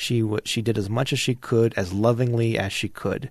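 A man with an American accent talks at a moderate pace in a medium pitch, with a plain, everyday voice. The background is quiet. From Utah (Kearns, Salt Lake area). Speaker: political candidate, college professor. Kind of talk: interview.

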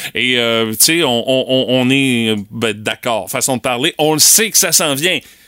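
Going at a very slow pace with hardly any pauses, a man with a Quebec accent speaks at a medium pitch in a bright, sharp tone. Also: ordinary pitch variation. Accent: Québécois French. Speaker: radio morning show host. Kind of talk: casual radio chat. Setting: radio studio.

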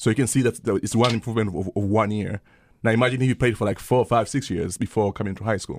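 At a very fast pace, a man talks with a fairly low pitch and fairly even intonation, in a dry, close sound with no echo on a very clean recording with a silent background. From Tanzania. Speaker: assistant soccer coach. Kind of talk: casual interview.

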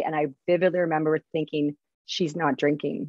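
This woman has a very deep, low voice. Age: 40s. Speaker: recovering alcoholic, public speaker. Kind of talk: casual interview. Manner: halting.

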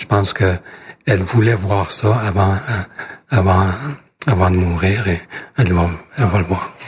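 A man with a Canadian accent speaks at a very deep, low pitch and a fairly slow pace. His intonation is fairly even, with long, frequent pauses. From northern Quebec, Cree territory. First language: Cree (speaking French). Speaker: politician. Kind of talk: interview. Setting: parliament office. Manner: halting, frequent repetitions.

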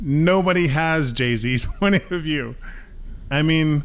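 Very slow speech from a man at fairly high pitch with lively intonation, in audible room echo. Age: 40s. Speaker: musician. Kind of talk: interview. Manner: halting, many fillers.

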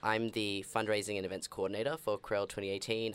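Fairly quick speech with an Australian accent on a very clean recording with a silent background. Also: man. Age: 20s. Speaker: guest from queer magazine. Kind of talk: casual chat.

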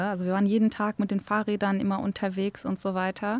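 A woman's medium-pitched voice in a Kurdish accent, at a moderate pace, with a dry, close sound and no echo. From Germany (grew up in a village from age six), born in Erbil. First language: Kurdish (speaking German). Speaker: archaeologist and game developer. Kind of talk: interview.

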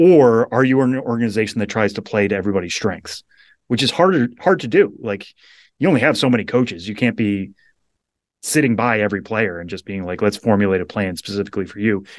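This man's pitch runs fairly low. He talks very fast. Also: ordinary pitch variation, quiet background. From Western Massachusetts. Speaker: baseball prospect reporter. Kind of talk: casual interview.

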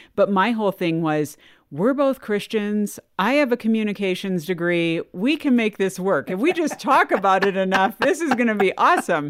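In a very clean recording with a silent background, a woman with an unremarkable speaking voice of medium pitch talks at a moderate pace with lively intonation and hardly any pauses. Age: 40s. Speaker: podcast host. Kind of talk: casual chat.

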